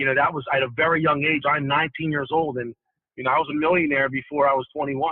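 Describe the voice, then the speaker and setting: A man talking very fast, his fairly high voice held in a flat monotone. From Ghana, West Africa. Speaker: real estate developer. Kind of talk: interview. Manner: halting, many fillers.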